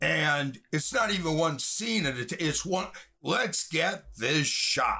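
Very slowly and with ordinary pitch variation, a man with an American accent speaks at a high pitch in a bright, sharp tone. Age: 60s. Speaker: film director and writer. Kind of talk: interview. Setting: video call.

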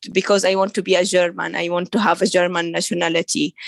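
A woman with an Arabic accent at a medium pitch, in a dry, close sound with no echo. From Saudi Arabia, of Syrian family. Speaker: author and women's rights activist. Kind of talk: interview. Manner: halting, with frequent repetitions and fillers.

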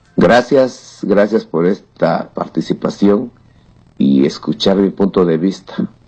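The speaker moves at a very slow pace with lively intonation. Noticeable background noise runs underneath. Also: man, fairly low pitch for a man, very even loudness. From Oaxaca, Mexico. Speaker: listener giving testimony. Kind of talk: recorded testimony.

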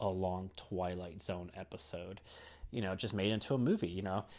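The speech comes at a fairly quick pace on a very clean recording with a silent background. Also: man. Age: 30s. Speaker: horror movie podcast host. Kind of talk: solo movie review podcast. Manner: casual with frequent fillers and laughs.

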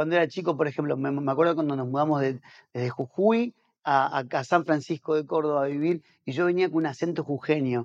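A man speaks with an Argentine accent at a fairly high pitch. The background is quiet. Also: dry, close sound with no echo. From Argentina. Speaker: pastor and missionary. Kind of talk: casual interview chat. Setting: on location in a house.

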